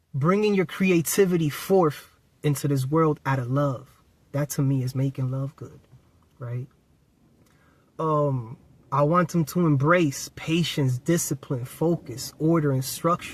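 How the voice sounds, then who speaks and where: At a fairly slow pace, a man with a fairly high, somewhat breathy voice and ordinary pitch variation speaks with long, frequent pauses. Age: 30s. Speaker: spiritual self-help YouTuber. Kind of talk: casual motivational vlog talk to camera.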